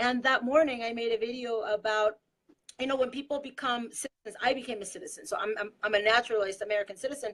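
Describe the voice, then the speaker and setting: A very fast, high-pitched female voice with ordinary pitch variation. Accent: Spanish. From Mexico. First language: Spanish. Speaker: political activist. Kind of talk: casual chat.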